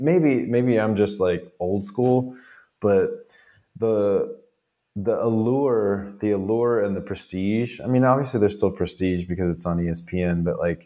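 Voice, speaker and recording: The tone is dark and mellow, with ordinary pitch variation. Delivery comes at a fairly slow pace. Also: man. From Peachtree City, Georgia. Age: 40s. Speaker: sports podcast co-host. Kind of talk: casual chat.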